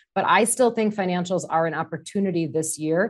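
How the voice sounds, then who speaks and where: In an ordinary speaking voice, a woman with an American accent talks at a moderate pace and medium pitch, with ordinary pitch variation over a quiet background. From US Midwest, Wisconsin. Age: 30s. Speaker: market strategist. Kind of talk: casual market discussion.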